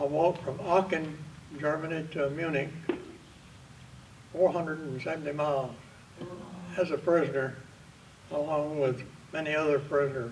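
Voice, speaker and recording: A man with a Southern US accent, his fairly high pitch and fairly even intonation broken by long, frequent pauses, over noticeable background noise. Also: moderate pace. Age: 90s. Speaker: war veteran. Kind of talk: storytelling.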